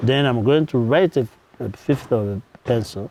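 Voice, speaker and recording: Speaking with a Ugandan accent, a man uses a medium pitch and lively intonation. His pace is very slow. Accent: unchanged Ugandan. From Uganda, Kanungu district. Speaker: nonprofit founder. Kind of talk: interview.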